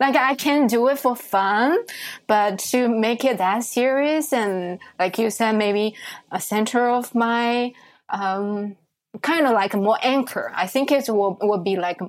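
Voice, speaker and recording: With a Chinese accent, the speaker talks at a fairly slow pace with ordinary pitch variation on a very clean recording with a silent background. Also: woman. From China. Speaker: tea event organizer. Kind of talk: interview. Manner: halting.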